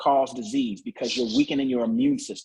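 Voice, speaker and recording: A man speaks in a plain, everyday voice. The pitch sits fairly high and shows ordinary variation. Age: 50s. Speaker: naturopathic doctor. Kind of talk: sales pitch.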